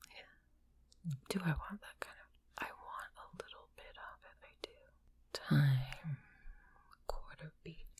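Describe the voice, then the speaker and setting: Whispering at a fairly slow pace. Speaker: composer. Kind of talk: muttering while working on audio.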